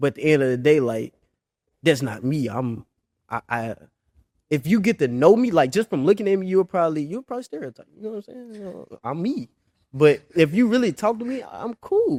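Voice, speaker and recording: A man with an American accent talks fairly quickly at a fairly high pitch, in a dark, mellow tone. His pitch swings very widely and his loudness shifts a lot, the sound dry and close with no echo. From Memphis, Tennessee (US South). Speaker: college football player. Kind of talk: casual interview.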